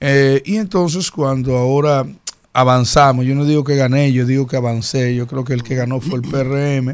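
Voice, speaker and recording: Using an ordinary speaking voice, a man talks at a moderate pace and medium pitch, his intonation fairly even. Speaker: mayoral candidate. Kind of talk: studio interview.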